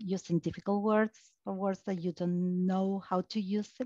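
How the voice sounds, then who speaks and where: A woman at a medium pitch and fairly slow pace, in a dry sound with no echo and a quiet background. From Argentina. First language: Spanish. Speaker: technical account manager. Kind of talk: panel discussion. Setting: online video webinar. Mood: calm, advising. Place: home room. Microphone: headset.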